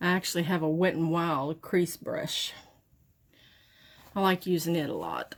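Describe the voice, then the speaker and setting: A woman's fairly low, monotone and flat voice in a strong Southern US accent, broken by long, frequent pauses. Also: moderate pace. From Southern United States. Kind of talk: makeup tutorial talk to camera. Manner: casual, chatty.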